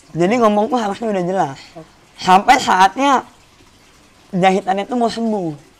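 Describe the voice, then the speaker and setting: The talking stops often for long pauses, with noticeable background noise present throughout. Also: moderate pace. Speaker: stand-up comedian and singer. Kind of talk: podcast interview.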